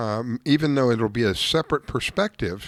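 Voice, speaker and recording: At a moderate pace, a man with a normal speaking voice uses lively intonation, heard as dry, close sound with no echo in a very clean recording, silent background. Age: 60s. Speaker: fishing radio show host. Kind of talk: casual radio talk.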